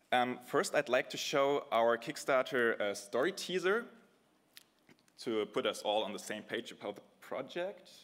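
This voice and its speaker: Speaking at a fairly slow pace, a man with a German accent makes very wide pitch swings. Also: medium pitch for a man. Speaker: game developer. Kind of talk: conference talk. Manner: halting, improvised.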